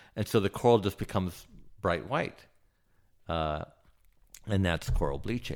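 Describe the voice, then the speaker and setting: With vocal fry and an American accent, the voice moves at a moderate pace on a very clean recording with a silent background. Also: man. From Southern California (Santa Barbara). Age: 50s. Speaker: submersible pilot. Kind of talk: casual interview conversation. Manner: halting, many fillers.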